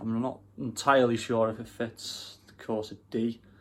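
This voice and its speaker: A man's medium-pitched voice in a Welsh accent, monotone with flat intonation. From Wales. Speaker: car enthusiast YouTuber. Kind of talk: casual vlog. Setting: bedroom. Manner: casual, hesitant with fillers.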